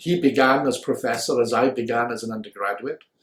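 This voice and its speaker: A somewhat breathy man with a Welsh accent, at a moderate pace. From Wales, Swansea area. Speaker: philosopher. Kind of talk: interview. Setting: office. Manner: measured, formal.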